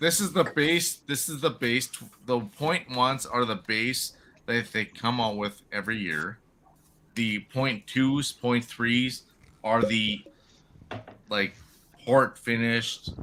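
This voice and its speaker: This man's medium-pitched voice has a bright, sharp tone and ordinary pitch variation. He speaks very slowly, with long, frequent pauses. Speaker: whiskey enthusiast. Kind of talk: casual chat.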